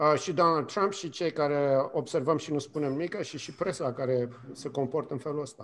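A man speaks at a fairly high pitch with ordinary pitch variation. He keeps a moderate pace. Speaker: communication professor. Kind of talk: radio interview. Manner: hesitant, many fillers.

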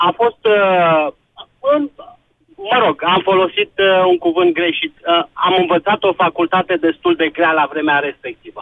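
A man with a high pitch speaks at a fairly slow pace. His loudness stays very even, with ordinary pitch variation. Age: 50s. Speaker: caller. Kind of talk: call-in radio talk. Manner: halting.

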